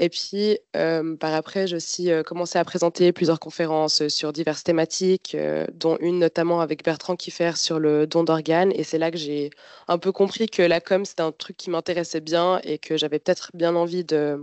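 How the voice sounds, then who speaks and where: The voice moves at a moderate pace with hardly any pauses. Its intonation is monotone and flat. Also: woman, fairly low pitch for a woman. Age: 20s. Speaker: university student. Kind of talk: informational presentation. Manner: hesitant, many fillers.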